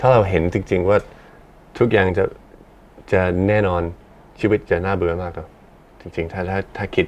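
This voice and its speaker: A man's very deep, low voice keeps a fairly even intonation. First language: English (speaking Thai). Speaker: musician and podcast co-host. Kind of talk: casual chat. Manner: halting, self-correcting.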